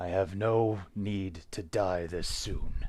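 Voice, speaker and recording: Slowly, very slowly, a man does a raspy put-on character voice with a fairly low pitch. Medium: actual play. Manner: terse, restrained anger.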